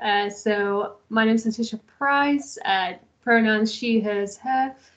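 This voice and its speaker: A woman talks with an English accent. Her pitch sits fairly high. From England. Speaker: graduate assistant and doctoral student. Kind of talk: online info session. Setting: video call.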